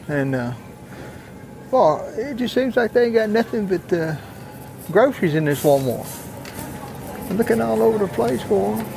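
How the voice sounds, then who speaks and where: A man with a high pitch and a Southern US accent talks at a moderate pace, with very wide pitch swings and long, frequent pauses. The sound is dry with no echo, and clear music plays in the background. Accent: Southern US rural dialect. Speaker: traveling fair worker. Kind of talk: casual vlog talk to camera. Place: shop. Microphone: phone near.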